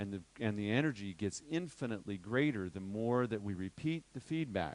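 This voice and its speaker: Lively intonation runs through a plain, everyday voice speaking at a moderate pace. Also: man, fairly low pitch for a man. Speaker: workshop teacher on crystal healing. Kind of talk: lecture.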